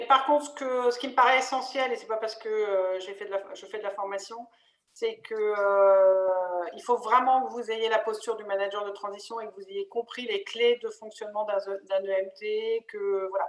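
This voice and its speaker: An ordinary speaking voice from a woman, fairly high in pitch, moves at a moderate pace with fairly even intonation and big swings in loudness. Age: 50s. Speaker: interim manager, webinar co-host. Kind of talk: webinar panel discussion. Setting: online webinar.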